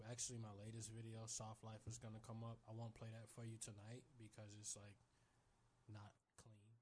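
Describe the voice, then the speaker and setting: A man speaks at a moderate pace with a medium pitch and a somewhat breathy voice. His intonation is monotone and flat. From Chicago, East Side. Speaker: rapper and singer. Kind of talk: casual interview.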